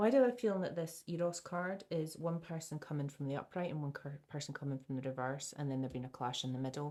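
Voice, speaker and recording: This woman speaks very fast in a Scottish accent, soft-spoken and with hardly any pauses. Her pitch is very deep and low, with ordinary variation and a dark, mellow tone. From Scotland. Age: 70s. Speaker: tarot reader. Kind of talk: tarot reading. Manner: halting.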